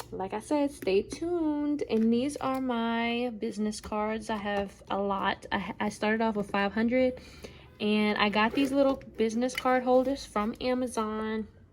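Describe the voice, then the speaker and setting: A woman with a normal speaking voice talks at a fairly slow pace. Her pitch is fairly high, with ordinary pitch variation. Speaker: small business owner vlogger. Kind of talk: casual vlog tutorial.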